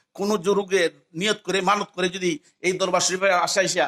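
This man speaks at a high pitch. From Bangladesh, Habiganj (Sylhet region). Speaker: madrasa teacher and imam. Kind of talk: religious history talk at a shrine.

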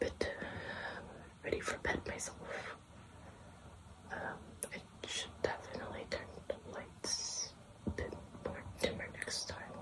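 A woman speaking at a fairly slow pace with long, frequent pauses over loud background noise. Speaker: ASMR creator. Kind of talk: whispered ASMR rambling to camera. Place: home room. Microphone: phone near.

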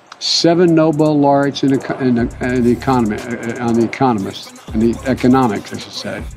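A man with an American accent, medium-pitched with ordinary pitch variation, fairly quick and hardly pausing, over music in the background. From United States. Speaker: politician. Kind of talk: political speech.

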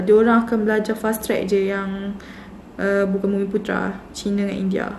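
Amid audible room echo and light background noise, a woman talks at a moderate pace. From Malaysia. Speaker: YouTuber sharing student experience. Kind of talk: casual vlog talk. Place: home room. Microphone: phone near.

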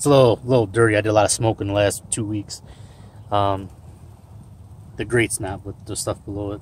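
A man with a fairly low pitch sounds somewhat breathy. The sound is dry with no echo, and there is light background noise. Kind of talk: casual tutorial. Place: garden. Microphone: phone near.

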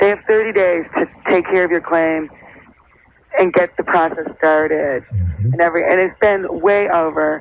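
A moderate-paced voice with an American accent, noticeable background noise behind it. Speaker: actor. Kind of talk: phone-in call. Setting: phone call. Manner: animated.

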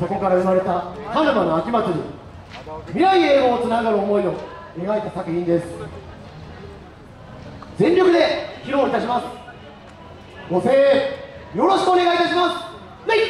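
A man talks at a moderate pace, leaving long, frequent pauses. Light background noise and audible room echo fill the recording. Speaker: team announcer introducing the dance. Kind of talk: formal performance introduction. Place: street.

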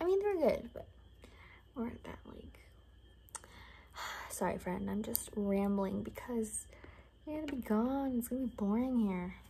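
Soft-spoken at a moderate pace, the voice has big swings in loudness and long, frequent pauses, with light background noise. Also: woman. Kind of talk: role-play monologue to the viewer. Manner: soft-spoken ASMR roleplay talk. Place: home room. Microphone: phone near.

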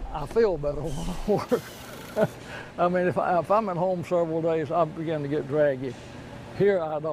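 A man with a Southern US accent and fairly high pitch speaks at a moderate pace with ordinary pitch variation, in a dry sound with no echo and light background noise. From North Carolina. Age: 90s. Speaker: cabinet maker. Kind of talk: interview. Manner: halting. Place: workshop.

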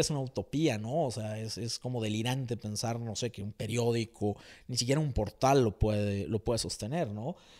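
Over a quiet background, a man talks at a moderate pace. His pitch varies in an ordinary way. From Mexico. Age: 40s. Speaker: writer; interviewee. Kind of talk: interview. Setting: at home. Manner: hesitant with many fillers. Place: home room. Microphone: handheld.

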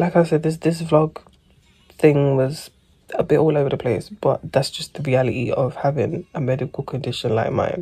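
Against a quiet background, a woman speaks in a very deep, low voice that is somewhat breathy, with a dark, mellow tone. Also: ordinary pitch variation, moderate pace. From England. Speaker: vlogger with endometriosis. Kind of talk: casual vlog chat. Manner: rambling, chatty. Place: home room. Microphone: phone near.

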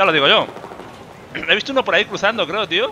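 A man talks at a very fast pace with a Spanish accent over noticeable background noise. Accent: Peninsular Spanish. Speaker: gaming YouTuber. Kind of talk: live gameplay commentary. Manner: animated.

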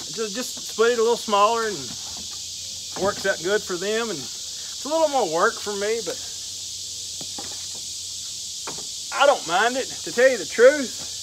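At a moderate pace, a man talks in a high voice with ordinary pitch variation and big swings in loudness. Long, frequent pauses break up his speech, and background noise is noticeable. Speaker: firewood seller. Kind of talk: casual vlog chat. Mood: relaxed, easygoing. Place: forest. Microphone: camera far.

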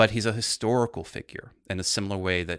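Against a quiet background, a man with a very deep, low pitch speaks in a fairly even intonation, his bright, sharp tone heard in a dry sound with no echo. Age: 40s. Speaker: art historian and literature teacher; podcast guest. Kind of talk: casual chat. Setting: studio. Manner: articulate. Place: home room. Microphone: studio mic.

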